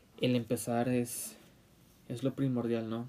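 A man's medium-pitched voice, dark and mellow in tone, with monotone, flat intonation at a moderate pace. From Mexico, Puebla. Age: 20s. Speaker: podcaster. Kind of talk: solo podcast monologue. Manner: halting, many fillers.

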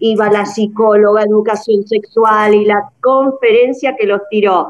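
A woman speaks fairly slowly over noticeable background noise. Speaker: friend of the show. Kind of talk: casual chat. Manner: animated.

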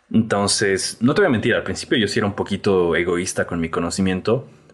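A man's fairly low voice at a fairly quick pace, with music in the background. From Bolivia. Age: 20s. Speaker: photographer. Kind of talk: casual chat.

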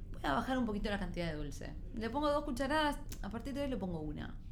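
In a Rioplatense accent, a woman talks at a very fast pace in a high pitch, with audible room echo. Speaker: TV news segment contributor on nutrition. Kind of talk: casual interview chat.

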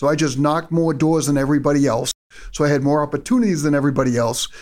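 With a New England accent, a man with a fairly high pitch speaks in fairly even intonation on a very clean recording with a silent background. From Massachusetts. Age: 50s. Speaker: solar company executive. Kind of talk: casual chat. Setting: office.

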